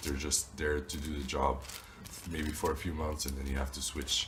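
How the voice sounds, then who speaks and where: Moderately paced speech from a man with a very deep, low voice, amid audible room echo and noticeable background noise. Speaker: YouTuber teaching phone repair business. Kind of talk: tutorial. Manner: casual, with fillers.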